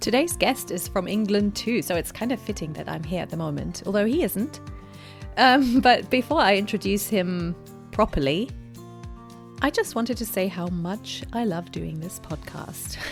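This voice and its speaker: Music playing behind a woman's voice at a moderate speed. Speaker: podcast host. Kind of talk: casual podcast conversation.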